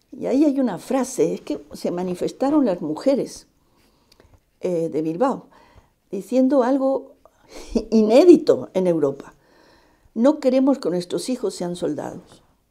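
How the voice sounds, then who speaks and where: A woman's dark, mellow voice with vocal fry, fairly high in pitch and very wide in its swings, fairly slow with long, frequent pauses, over a quiet background. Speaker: Basque exile radio veteran; interviewee. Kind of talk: interview testimony. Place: home room. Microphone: lapel.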